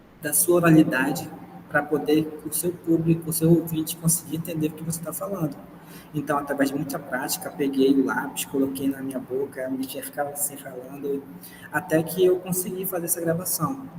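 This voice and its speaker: Against noticeable background noise, a man speaks with a fairly high pitch and fairly even intonation. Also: moderate pace. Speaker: university student presenting a podcast project. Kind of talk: project presentation.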